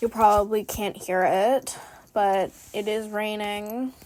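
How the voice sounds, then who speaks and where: A woman's fairly high voice in a Pacific Northwest accent, with fairly even intonation at a fairly slow pace. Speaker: beginner art content creator. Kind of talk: casual vlog narration while drawing. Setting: at home desk. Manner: chatty, lots of fillers.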